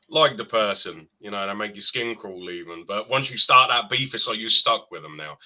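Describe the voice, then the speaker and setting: With an English accent, a man talks at a moderate pace with hardly any pauses and big swings in loudness. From eastern England. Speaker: podcast guest, gamer. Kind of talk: casual chat.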